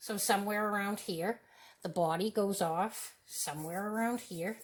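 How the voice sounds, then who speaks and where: Here a woman talks at a moderate pace. Her pitch is medium and her intonation fairly even. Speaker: artist teaching a drawing demo. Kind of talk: tutorial demonstration. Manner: loud.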